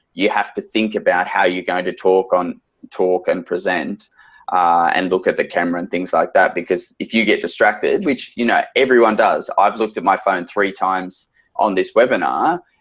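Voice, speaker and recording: With an Australian accent, a man talks at a moderate pace. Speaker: financial adviser. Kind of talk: webinar interview. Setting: video call. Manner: loud.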